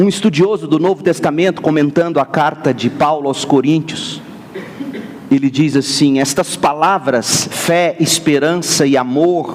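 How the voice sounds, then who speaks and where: Over noticeable background noise, a man speaks with very even loudness and ordinary pitch variation. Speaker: pastor. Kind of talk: sermon.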